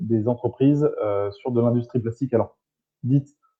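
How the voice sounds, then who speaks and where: Medium pitch and normal variation in tone from a male speaker. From southern France (Marseille). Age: 20s. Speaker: entrepreneur in plastics recycling. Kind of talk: live talk show interview. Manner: hesitant, many fillers.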